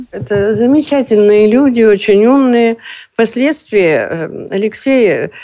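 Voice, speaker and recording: A woman's fairly high voice, dark and mellow in tone, with lively intonation at a very slow pace. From Russia, Leningrad region. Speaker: retired chemistry teacher. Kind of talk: interview reminiscence. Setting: video call.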